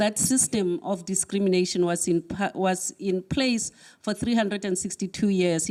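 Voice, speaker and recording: Heard on a very clean recording with a silent background, the voice has a dark, mellow tone and ordinary pitch variation. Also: woman. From South Africa. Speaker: academic speaker. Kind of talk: talk to an audience. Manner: halting, with fillers.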